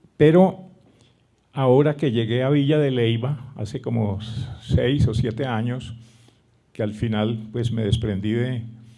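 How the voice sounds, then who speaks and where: With audible room echo, a man speaks at a medium pitch and fairly slow pace, using ordinary pitch variation and long, frequent pauses. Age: 80s+. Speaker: poet. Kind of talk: literary interview at a gathering.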